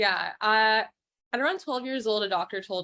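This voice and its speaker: A woman has a normal speaking voice. She talks at a fairly quick pace with lively intonation. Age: 20s. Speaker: guest sharing recovery story. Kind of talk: interview testimony.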